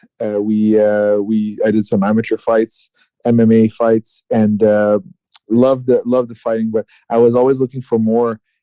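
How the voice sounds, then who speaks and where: With a dark, mellow tone at medium pitch, a man speaks at a moderate pace in monotone, flat intonation, recorded dry and close with no echo. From Quebec, Canada (Gatineau). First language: French. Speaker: martial arts fighter. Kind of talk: interview. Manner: halting, many fillers.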